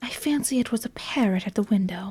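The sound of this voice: Pitch varies in the ordinary way as the text is read in an unforced voice.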